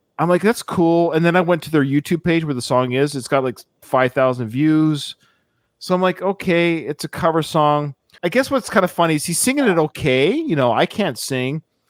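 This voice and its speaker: A man with a Canadian accent speaks at a moderate pace in an unremarkable speaking voice, his pitch fairly high with ordinary variation. The recording is very clean and dry, with a silent background, close sound and no echo. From Canada. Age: 40s. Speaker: podcast host. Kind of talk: casual chat.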